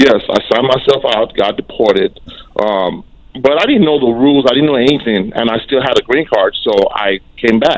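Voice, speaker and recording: Medium-pitched male speech in an American accent, moderately paced, with lively intonation. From mostly US, raised abroad partly. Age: 40s. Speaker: caller. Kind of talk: phone call-in question. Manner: halting.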